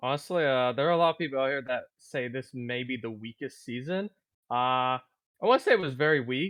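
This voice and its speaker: Fairly quick speech from a man in a normal speaking voice, medium in pitch, with ordinary pitch variation. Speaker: podcast co-host. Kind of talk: casual podcast talk.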